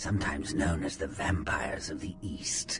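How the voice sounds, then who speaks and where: Over clear music in the background, a man puts on a character voice at a fairly low pitch and a fairly slow pace. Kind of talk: theatrical old-Hollywood showmanship. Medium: video game. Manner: mocking, playful, teasing.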